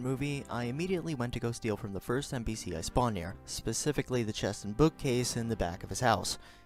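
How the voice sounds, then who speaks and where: With music in the background, a man talks very fast at a medium pitch with ordinary pitch variation. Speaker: gaming commentator. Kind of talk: scripted gameplay voice-over. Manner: stuttering at times.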